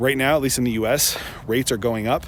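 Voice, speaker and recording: Noticeable background noise runs under this recording. Over it, a man speaks fairly quickly, his pitch varying in an ordinary way. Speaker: car salesperson and video host. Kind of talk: casual explainer video. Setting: outdoors on a dealership lot. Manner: halting, many fillers.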